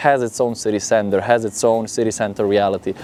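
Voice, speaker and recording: The speaker has an Italian accent. Noticeable background noise is present. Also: man. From Italy. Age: 20s. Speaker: model and social media creator. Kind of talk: interview answer. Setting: outdoors.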